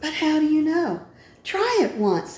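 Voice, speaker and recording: Using a put-on character voice, a woman talks at a fairly slow pace in a squeaky, high pitch. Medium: read story. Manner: gentle, warm.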